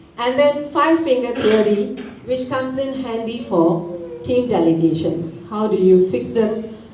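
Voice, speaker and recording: Her pitch is medium and swings very widely as the woman speaks at a fairly slow pace. Noticeable background noise and audible room echo fill the clip. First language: Tamil. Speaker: author and corporate trainer. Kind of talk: book launch speech.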